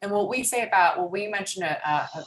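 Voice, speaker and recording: A woman races along at a very fast pace, her pitch varying in an ordinary way, with noticeable background noise behind her. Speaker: law clinic presenter. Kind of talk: training presentation.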